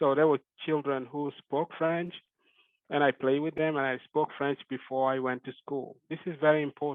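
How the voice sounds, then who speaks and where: A man speaks with a West African accent at a moderate pace. His intonation is fairly even. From Senegal. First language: Fulani. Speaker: genetic epidemiologist. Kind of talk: academic lecture. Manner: halting.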